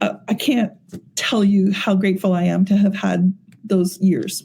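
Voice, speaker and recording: A woman speaks at medium pitch in a dark, mellow, somewhat breathy tone, at a fairly slow pace with fairly even intonation. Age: 60s. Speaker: AI technology executive. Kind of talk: podcast interview.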